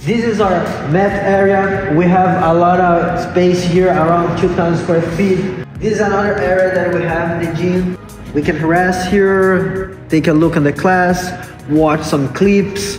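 A man's high-pitched, monotone, flat delivery at a fairly slow pace, very even in loudness, with audible room echo and clear music in the background. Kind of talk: casual tour guide talk. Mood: cheerful, relaxed. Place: gym. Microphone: camera far.

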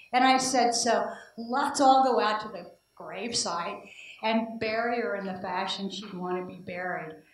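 Audible room echo hangs around this woman's voice. Her pitch sits fairly high. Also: ordinary pitch variation, moderate pace, big swings in loudness. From Indiana. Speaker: political science professor; conference presenter. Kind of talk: conference talk. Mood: reflective, warm. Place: hall. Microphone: handheld.

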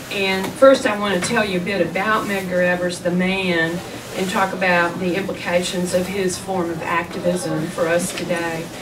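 Noticeable background noise sits behind a woman speaking at a moderate pace with monotone, flat intonation. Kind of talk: lecture. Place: shop.

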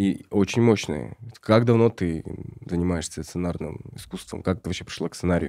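Recorded very cleanly against a silent background, a man with a very deep, low pitch and a dark, mellow tone speaks at a moderate pace with ordinary pitch variation. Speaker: podcast host and journalist. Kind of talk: casual interview chat.

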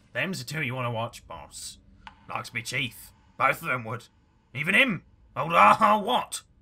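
Using a raspy, put-on character voice at fairly high pitch, a man speaks at a moderate pace with long, frequent pauses. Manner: wheedling, greedy, rustic.

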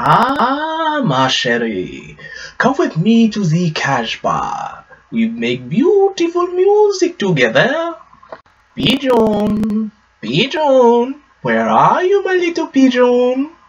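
A man uses a put-on character voice, pitched extremely high, with a theatrical tone. He speaks at a very slow pace with long, frequent pauses. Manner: amorous, theatrical.

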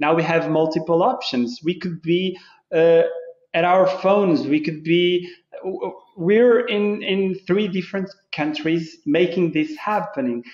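In a Portuguese accent, a man speaks at a high pitch and a fairly slow pace with ordinary pitch variation, with audible room echo but a quiet background. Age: 30s. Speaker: football club licensing manager; guest. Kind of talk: casual interview. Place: office. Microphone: video call.

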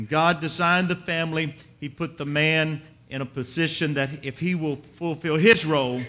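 Here a man speaks with a bright, sharp tone. His pitch varies in an ordinary way. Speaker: preacher. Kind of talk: sermon. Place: church.

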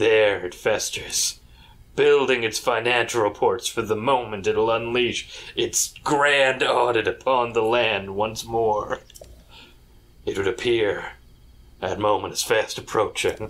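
Putting on a character voice, a man speaks in a solemn tone at a medium pitch. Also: fairly slow pace. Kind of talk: comic overacting. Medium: game stream. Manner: mock-solemn, portentous.

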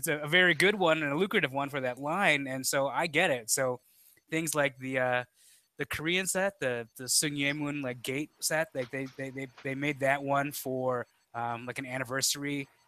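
Bright and sharp in tone, a man with an American accent talks at a moderate pace, the sound dry with no echo. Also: fairly even intonation. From Chicago, US Midwest. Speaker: podcast co-host, toy collector; podcast co-host. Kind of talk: casual chat. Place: home room. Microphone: headset.

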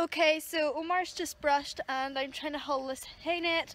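A woman speaks at a moderate pace. The sound is dry with no echo, and there is light background noise. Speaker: horse rider vlogger. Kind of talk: casual vlog chat. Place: farm machine. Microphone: phone near.

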